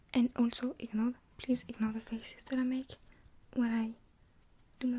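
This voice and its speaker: A soft-spoken woman has a high pitch and a dark, mellow tone. She moves at a moderate pace with monotone, flat intonation. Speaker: ASMR creator. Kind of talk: ASMR makeup tutorial.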